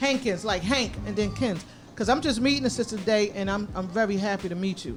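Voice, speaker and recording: A woman with vocal fry talks at medium pitch. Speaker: radio show host. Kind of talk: live radio talk. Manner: sometimes halting.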